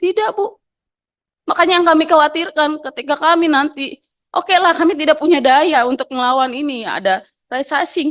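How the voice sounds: Loud and fairly bright, a woman's high voice moves at a moderate pace with ordinary pitch variation.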